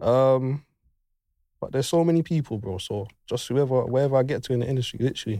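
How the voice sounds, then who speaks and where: Talking at a very fast pace, a man with a dark, mellow tone shows ordinary pitch variation on a very clean recording with a silent background. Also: medium pitch for a man. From West London. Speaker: sound engineer. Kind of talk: casual chat.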